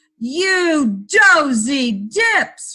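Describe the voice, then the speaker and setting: A woman bellows in a put-on character voice with an angry tone. Her pitch is high and swings very widely. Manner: roaring angry.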